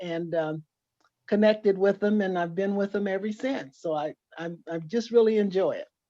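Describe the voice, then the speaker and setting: A woman with an American accent, medium pitch, a dark, mellow tone, fairly even intonation and a moderate pace. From California (Los Angeles, San Joaquin Valley). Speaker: genealogy group member. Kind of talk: self-introduction in video call. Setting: video call.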